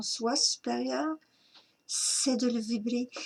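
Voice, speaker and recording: A woman is speaking. Her pitch is fairly high. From Quebec. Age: 60s. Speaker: spiritual teacher. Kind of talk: spiritual talk.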